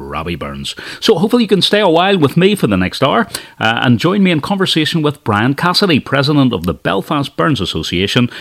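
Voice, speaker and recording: With very wide pitch swings and vocal fry, a man talks at a very fast pace in a fairly high pitch. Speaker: radio host. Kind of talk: radio dj patter, live presenter intro. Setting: radio studio. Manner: warm, upbeat, friendly.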